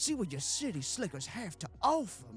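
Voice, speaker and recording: Putting on a character voice in a Southern US accent, a man speaks at a moderate pace and a high pitch while music plays clearly in the background. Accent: Southern American. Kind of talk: played character.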